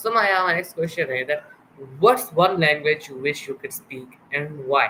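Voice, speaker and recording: Someone with a Pakistani accent speaks at a moderate pace with ordinary pitch variation and big swings in loudness, against noticeable background noise. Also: man, fairly high pitch for a man. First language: Urdu. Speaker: interviewer, show host. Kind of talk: interview. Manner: hesitant, filler-heavy.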